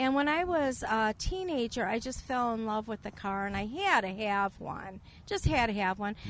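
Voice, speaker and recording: This woman talks with hardly any pauses, in a slight Chicago accent. Her fairly high voice carries lively intonation. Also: moderate pace. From northern Illinois, US. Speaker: Corvette enthusiast. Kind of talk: casual interview. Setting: outdoor car event.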